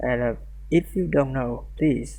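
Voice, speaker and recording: A man at a very slow pace. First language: not English. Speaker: programming tutorial creator. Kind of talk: tutorial. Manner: halting, many fillers and restarts.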